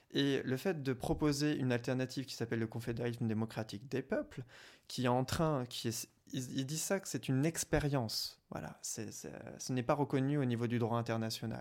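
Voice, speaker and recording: A man talks at a fairly quick pace in an ordinary speaking voice, medium in pitch with ordinary pitch variation. The recording is very clean, with a silent background. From France, Champigny (Paris region). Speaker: activist for the Kurdish cause. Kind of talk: interview.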